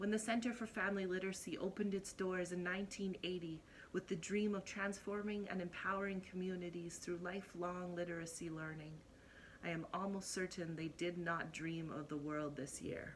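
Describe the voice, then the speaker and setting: An ordinary speaking voice moves at a fairly quick pace. Its intonation is fairly even. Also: woman, medium pitch for a woman. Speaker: spoken word poet. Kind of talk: spoken word poetry performance.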